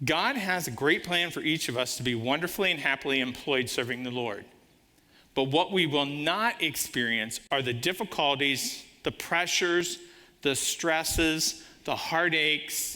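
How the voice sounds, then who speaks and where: Here a man speaks at a fairly high pitch with lively intonation and a bright, sharp, animated tone. The recording is very clean, with a silent background. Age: 60s. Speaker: guest preacher, business owner. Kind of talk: sermon.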